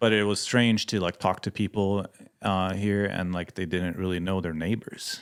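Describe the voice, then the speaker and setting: Speaking with a Swedish accent, a man with a very deep, low voice keeps a moderate pace and fairly even intonation. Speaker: missionary pilot and mechanic. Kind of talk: podcast interview. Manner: halting, many fillers.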